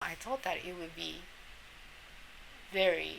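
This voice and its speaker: Amid noticeable background noise and audible room echo, a woman with a Japanese accent talks at a fairly low pitch. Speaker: immunology professor. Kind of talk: interview. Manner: halting.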